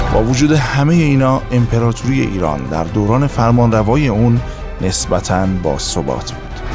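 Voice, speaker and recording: A man with a medium-pitched voice speaks at a moderate pace, his intonation lively. Music plays in the background. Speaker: voice actor. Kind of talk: history documentary narration.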